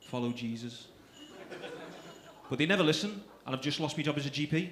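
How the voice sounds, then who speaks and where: Speaking at a fairly quick pace with a Liverpool accent, a man has a fairly high voice and ordinary pitch variation. Noticeable background noise and audible room echo fill the recording. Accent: Scouse. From Liverpool, England. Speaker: stand-up comedian. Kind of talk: stand-up. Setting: stage with audience.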